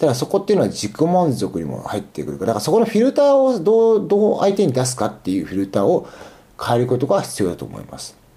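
Very wide pitch swings mark this man's fairly high voice as he rushes along at a very fast pace. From Aichi, Japan. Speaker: podcast host. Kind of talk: casual solo monologue. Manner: halting, many fillers.

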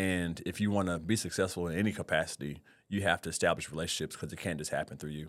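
A man with an American accent talks at a very fast pace in a very deep, low voice with fairly even intonation. The recording is very clean, with a silent background. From Oklahoma. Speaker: teacher. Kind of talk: casual interview chat. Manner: fast talker.

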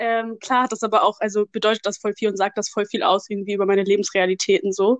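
At a very fast pace, a woman speaks in a monotone with flat intonation, the sound dry and close with no echo. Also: medium pitch for a woman. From Germany. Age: 20s. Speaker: social work student. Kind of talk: casual interview.

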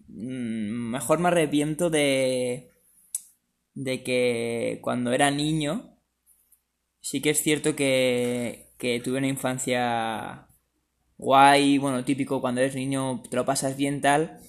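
At a very slow pace, a man speaks at a medium pitch with fairly even intonation, recorded very cleanly with a silent background. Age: 20s. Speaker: semi-professional footballer and student. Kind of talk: interview.

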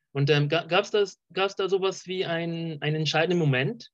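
Speaking fairly slowly, a man uses a fairly high pitch with ordinary pitch variation. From Colombia. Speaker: podcast host. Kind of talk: casual interview chat. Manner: halting, many fillers.

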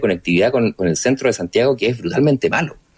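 A man speaks at a very fast pace with lively intonation and a medium pitch, the sound dry and close with no echo. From Chile, Rancagua. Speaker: politician, sociologist. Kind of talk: radio interview. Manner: halting.

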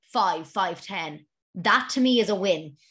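Over a quiet background, a woman with an Irish accent speaks at a moderate pace and medium pitch in a bright, sharp tone, with ordinary pitch variation. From Ireland. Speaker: running podcast host. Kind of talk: solo Q and A podcast. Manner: casual, laughing often.

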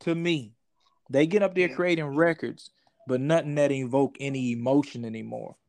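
Speaking at a moderate pace with ordinary pitch variation, a man with a Southern US accent comes through over a quiet background. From US South, Georgia. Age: 30s. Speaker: comedian. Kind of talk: casual chat.

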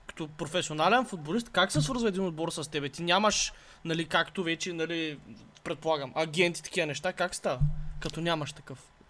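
The tone is bright and sharp, delivered at a moderate pace with ordinary pitch variation. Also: man, high pitch for a man. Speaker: podcast co-host. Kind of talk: casual chat.

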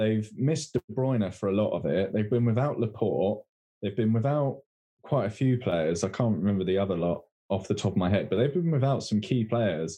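A man with an English accent speaks at a fairly low pitch with lively intonation and very even loudness. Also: moderate pace. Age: 20s. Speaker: football podcast co-host. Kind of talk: casual chat.

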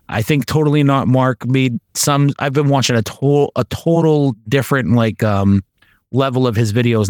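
Here a man with an unremarkable speaking voice talks at a moderate pace and medium pitch, varying it in an ordinary way. The recording is very clean with a silent background and a dry, close sound with no echo. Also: very even loudness. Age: 30s. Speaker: podcast host. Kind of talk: casual chat.

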